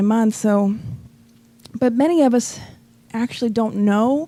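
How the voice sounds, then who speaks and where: A woman speaks at a fairly high pitch with ordinary pitch variation. Her tone is dark and mellow. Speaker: spiritist lecturer. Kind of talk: lecture.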